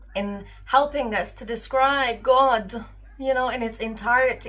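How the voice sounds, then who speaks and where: A woman's bright, sharp tone comes through at a very slow pace. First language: not English. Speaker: spiritual vlogger. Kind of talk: casual monologue vlog. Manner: unscripted, hesitant with fillers.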